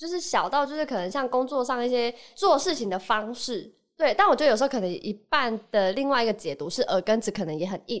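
With very wide pitch swings, a woman with high pitch talks at a fairly quick pace on a very clean recording with a silent background. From Taiwan, Kaohsiung. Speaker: podcast guest. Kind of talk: casual chat.

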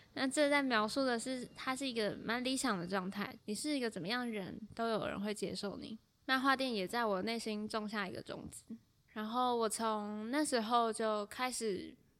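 An unremarkable speaking voice with normal pitch movement and a medium speed. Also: woman, fairly high pitch for a woman. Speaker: podcast host and freelance writer. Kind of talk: solo podcast monologue.

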